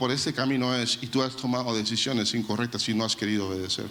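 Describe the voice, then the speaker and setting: Speaking at a fairly quick pace, a man is heard with audible room echo. Noticeable background noise is present. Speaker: pastor. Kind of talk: sermon.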